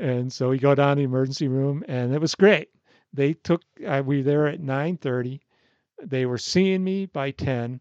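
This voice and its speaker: A man with an ordinary speaking voice, fairly high in pitch, at a moderate pace with ordinary pitch variation, dry and close with no echo. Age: 60s. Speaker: retired sailor, podcast guest. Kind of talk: casual interview chat.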